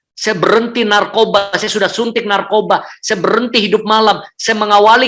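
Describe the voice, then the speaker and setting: A man speaks in a raised, projected voice, pitched high. His pace is moderate. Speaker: public speaking trainer and church speaker. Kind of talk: testimony. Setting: hotel room, online service.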